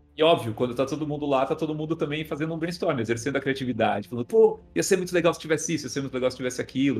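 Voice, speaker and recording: A somewhat breathy, fairly high-pitched man's voice at a very fast pace, with hardly any pauses and ordinary pitch variation. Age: 40s. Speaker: film and commercial director. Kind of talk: interview.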